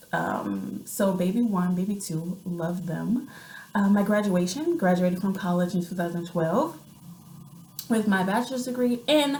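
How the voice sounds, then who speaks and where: Audible room echo surrounds this recording. A woman talks at a medium pitch with ordinary pitch variation. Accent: American. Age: 30s. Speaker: vlogger and writer. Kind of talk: casual vlog monologue. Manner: hesitant, many fillers.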